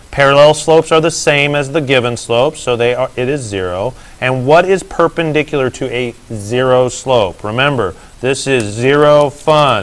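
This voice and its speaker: This man has a plain, everyday voice at a medium pitch, talking at a moderate pace with ordinary pitch variation. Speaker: math teacher. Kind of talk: lecture.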